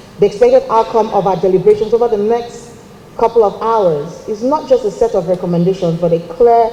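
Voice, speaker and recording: Amid noticeable background noise, a woman with a Nigerian accent talks fairly quickly at fairly high pitch, with ordinary pitch variation. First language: Nigerian language, not English. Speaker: government climate official. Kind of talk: formal speech. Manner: formal.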